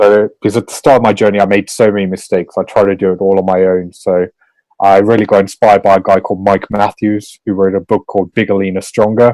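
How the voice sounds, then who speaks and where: At a very fast pace, a man speaks in a dark, mellow tone with monotone, flat intonation, the sound dry and close with no echo. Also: fairly low pitch for a man. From South Africa, Johannesburg. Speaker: lifestyle coach and author. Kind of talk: podcast interview.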